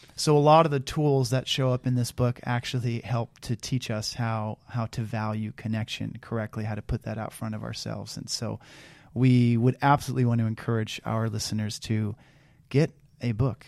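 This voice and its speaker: Recorded very cleanly against a silent background with a dry, close sound and no echo, a man speaks in a plain, everyday voice at a medium pitch, a moderate pace, and fairly even intonation. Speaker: podcast co-host. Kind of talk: casual chat.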